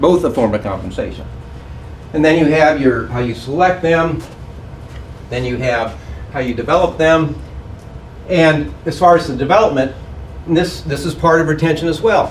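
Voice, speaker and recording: Pausing long and often, a man with a fairly high pitch and ordinary pitch variation talks at a moderate pace amid audible room echo and noticeable background noise. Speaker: hospice management consultant. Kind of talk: conference presentation.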